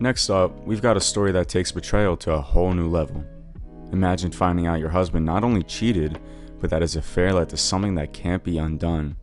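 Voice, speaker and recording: Music plays behind a man with a very deep, low pitch who talks at a fairly quick pace with ordinary pitch variation. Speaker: story narrator. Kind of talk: reddit story narration.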